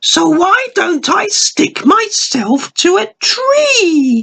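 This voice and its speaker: This put-on character voice is squeaky and extremely high, moving very slowly with very wide pitch swings. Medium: read story. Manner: playful, cheeky.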